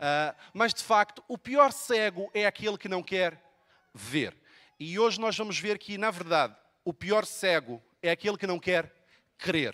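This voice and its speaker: A man with a high-pitched, bright and sharp voice speaks loudly and projects at a fairly slow pace, his intonation lively. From Brazil, Rio de Janeiro. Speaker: pastor. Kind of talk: sermon. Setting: church.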